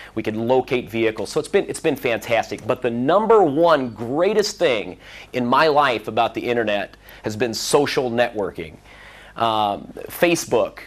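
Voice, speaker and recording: A man at medium pitch with a Midwestern American accent, lively intonation and a moderate pace. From US Midwest, Central Illinois. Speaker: conference speaker. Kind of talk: conference talk. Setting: stage with audience.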